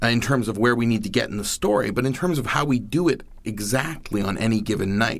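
Very fast speech from a man of medium pitch, with hardly any pauses and audible room echo. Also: ordinary pitch variation. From Maine. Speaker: monologuist. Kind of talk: interview. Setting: studio.

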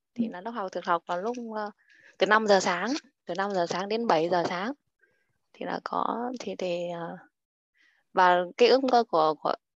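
Against a quiet background, a woman speaks at a moderate pace with ordinary pitch variation and long, frequent pauses. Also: dry, close sound with no echo. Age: 30s. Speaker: stay-at-home mother. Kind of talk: self-introduction.

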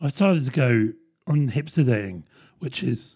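A man's fairly high voice with a dark, mellow tone, somewhat breathy, at a moderate pace with ordinary pitch variation. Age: 30s. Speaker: podcast host. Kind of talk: casual solo monologue.

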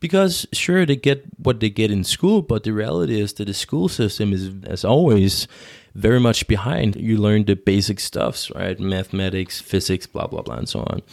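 A man's plain, everyday voice, fairly low in pitch, with lively intonation at a moderate pace on a very clean recording with a silent background. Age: 20s. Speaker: podcast host and commercial pilot. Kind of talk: casual chat.

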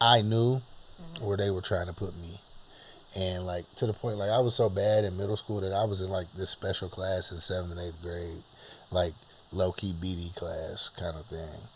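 Amid noticeable background noise, a man with a very deep, low pitch speaks at a moderate pace with fairly even intonation. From US, Huntington. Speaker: father and teacher co-host. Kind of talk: casual chat.

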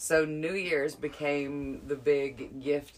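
With a Southern US accent, a woman speaks in a very deep, low pitch. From Alabama. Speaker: podcast co-host. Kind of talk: casual chat.

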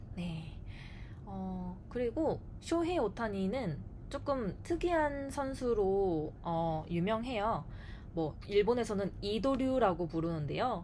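Her tone is dark and mellow, at a medium pitch for a woman, with very wide pitch swings. She speaks at a very slow pace, and audible echo fills the room. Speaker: Korean language teacher. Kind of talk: scripted casual chat.

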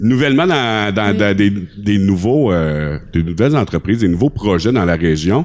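Speaking with a Quebec accent, a man talks at a moderate pace in a fairly low voice, with lively intonation and very even loudness. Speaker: podcast host. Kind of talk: casual chat. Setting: studio.

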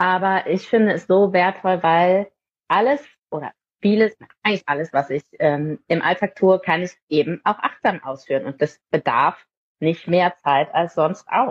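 A woman with an ordinary speaking voice, medium pitch, lively intonation and a fairly slow pace. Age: 30s. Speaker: parenting mentor for mothers. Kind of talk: casual interview.

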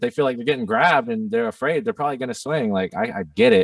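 A man talks at a very fast pace with a fairly high pitch and very wide pitch swings. The recording is very clean, with a silent background and a dry, close sound with no echo. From Germany. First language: German. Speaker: rapper. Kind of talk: casual chat.

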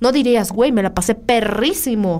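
An unremarkable speaking voice is heard here. The delivery moves at a moderate pace with lively intonation. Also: woman. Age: 30s. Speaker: podcast host, semiotics student. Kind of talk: casual chat.

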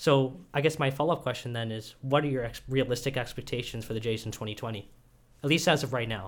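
A man's medium-pitched voice at a very fast pace. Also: ordinary pitch variation. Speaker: student podcast co-host. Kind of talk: interview.

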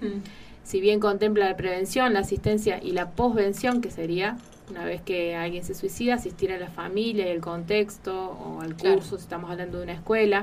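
Against noticeable background noise, a woman at medium pitch talks at a fairly quick pace with fairly even intonation. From Argentina, Carpintería (San Luis). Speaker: psychologist. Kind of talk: radio interview.

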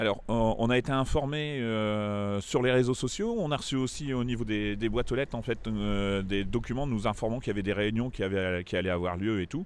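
At a moderate pace and with hardly any pauses, a man of medium pitch speaks with ordinary pitch variation. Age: 50s. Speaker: local resident. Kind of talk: interview. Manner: hesitant, many fillers.

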